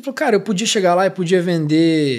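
Words come at a fairly quick pace. Behind them the background stays quiet. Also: man. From interior of São Paulo state, Brazil. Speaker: podcast host. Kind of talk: casual interview. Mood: relaxed, reflective. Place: studio. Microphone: studio mic.

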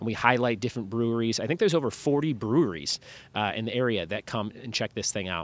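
The recording is dry, without any echo. A man races through his words at a very fast pace. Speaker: podcast host. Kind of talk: podcast intro chat. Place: street. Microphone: studio mic.

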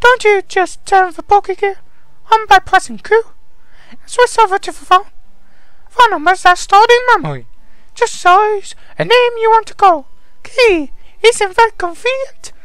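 A man's put-on character voice, extremely high and strained, at a moderate pace with long, frequent pauses over light background noise.

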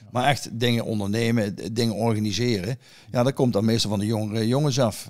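This man's pitch is medium. He talks at a fairly quick pace. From Netherlands, Erlecom (Gelderland). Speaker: pigeon fancier. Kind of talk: casual chat. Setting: at his own home. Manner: halting.

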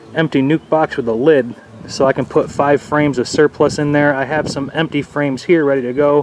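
Amid noticeable background noise, a man talks fairly quickly in a monotone, flat intonation, with a dry sound and no echo. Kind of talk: tutorial. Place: garden. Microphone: phone near.

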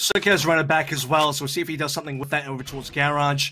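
Music plays behind a man who speaks very fast. His pitch is fairly high. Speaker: esports commentator. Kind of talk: live esports commentary, co-caster analysis and play-by-play. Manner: brisk, clipped, fast delivery that calls out health and kills.

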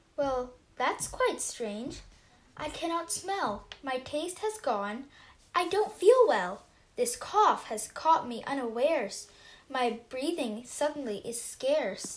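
A woman puts on a cartoonish character voice, pitched high and swinging very widely up and down. She delivers it at a fairly slow pace. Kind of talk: rhyming mummers' verse. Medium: puppet show. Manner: airy, riddling, then ailing.

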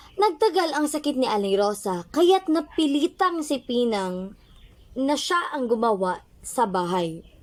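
A woman talks at a fairly slow pace in a high pitch with very wide pitch swings, over noticeable background noise. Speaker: storyteller. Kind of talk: bedtime story telling, gentle scripted narration to children.

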